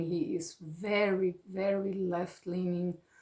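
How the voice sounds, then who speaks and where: A fairly low-pitched woman's voice in a German accent, monotone and flat. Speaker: retired psychotherapist. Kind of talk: personal monologue. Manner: halting, many fillers.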